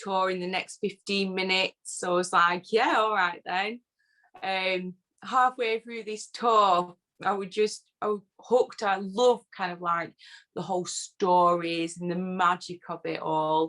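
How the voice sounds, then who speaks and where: A woman with a northern English accent speaks at a medium pitch and a fairly slow pace. Her bright, sharp tone and fairly even intonation come through with a dry, close sound with no echo. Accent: northern English, often taken for Yorkshire. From northern England (Lancashire, born Yorkshire border). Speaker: whisky social media personality. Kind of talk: casual interview chat.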